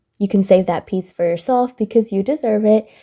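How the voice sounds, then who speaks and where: A woman speaks at a medium pitch with a dark, mellow tone. Her pitch varies in an ordinary way. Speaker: cake decorating creator. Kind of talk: tutorial voiceover. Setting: recorded voiceover.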